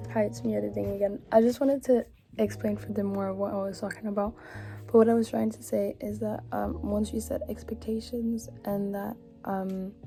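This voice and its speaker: Background music accompanies a woman who keeps a moderate tempo. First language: French. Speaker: vlogger. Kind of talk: casual monologue. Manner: hesitant.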